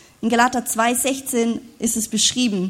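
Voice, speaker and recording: A high-pitched woman at a very slow pace. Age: 30s. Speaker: preacher. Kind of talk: sermon.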